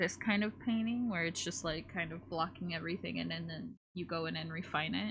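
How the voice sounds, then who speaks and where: Lively intonation and vocal fry in an American accent, at a moderate pace. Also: woman. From United States. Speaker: streamer and artist. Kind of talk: casual live-stream chat while drawing.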